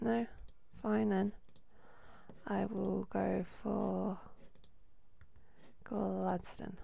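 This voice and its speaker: A woman speaks quietly at a very slow pace. She leaves long, frequent pauses. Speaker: gaming video host. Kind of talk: casual gameplay commentary.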